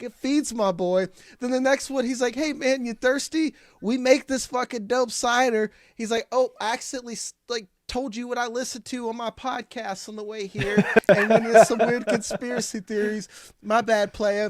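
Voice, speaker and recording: A man's extremely high-pitched voice with an animated tone, big swings in loudness and a moderate pace, dry and close with no echo, in a very clean recording with a silent background. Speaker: podcast co-host. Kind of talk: casual chat.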